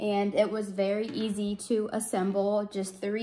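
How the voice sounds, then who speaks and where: A woman talks at a fairly slow pace, with light background noise behind her. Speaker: parent reviewing a product. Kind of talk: product review. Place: home room. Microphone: phone near.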